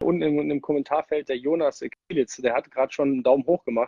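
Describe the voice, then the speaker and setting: Dry and close with no echo, the recording catches a man's normal speaking voice, pitched fairly high, moving at a fairly quick pace with ordinary pitch variation. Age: 30s. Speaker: ice hockey player. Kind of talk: casual interview.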